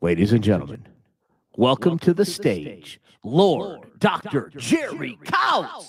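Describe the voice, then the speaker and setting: Booming and fairly high-pitched, a man uses a put-on character voice at a fairly slow pace. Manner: booming, theatrical announcing.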